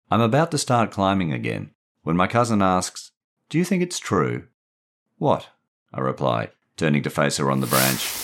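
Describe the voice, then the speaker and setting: Speaking with an Australian accent at a moderate pace, a man with a very deep, low pitch and a warm tone shows vocal fry, very even loudness and long, frequent pauses. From Perth, Western Australia. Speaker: author and narrator. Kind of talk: literary audiobook reading of a short story. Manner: measured, warm storyteller pacing.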